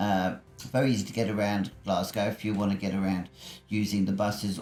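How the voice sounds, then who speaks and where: A man with a fairly low pitch talks at a very fast pace, his intonation fairly even. Music plays in the background. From England, Bedfordshire. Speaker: travel vlogger. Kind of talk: voice-over narration; casual vlog talk. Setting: voice-over recording. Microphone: built-in mic failed, replaced by voice-over.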